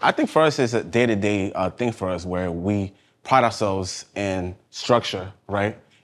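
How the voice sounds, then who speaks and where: With a New York accent, a man speaks at a moderate pace in a fairly low pitch with ordinary pitch variation. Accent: New York (Bronx). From New York, South Bronx. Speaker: fashion designer. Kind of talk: casual interview chat.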